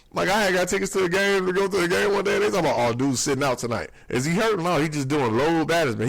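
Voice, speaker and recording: Amid noticeable background noise, a man talks very fast in a high pitch with an animated tone. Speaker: podcast host. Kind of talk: casual monologue podcast.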